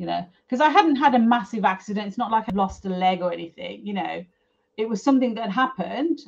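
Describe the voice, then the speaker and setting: This woman talks at a fairly quick pace and sounds somewhat breathy. Her pitch varies in an ordinary way. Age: 50s. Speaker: property developer. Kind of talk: casual interview chat.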